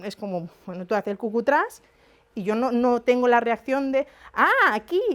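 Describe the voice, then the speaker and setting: Lively intonation broken by long, frequent pauses, over noticeable background noise. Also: woman. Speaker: psychologist lecturer. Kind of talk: lecture. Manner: fast.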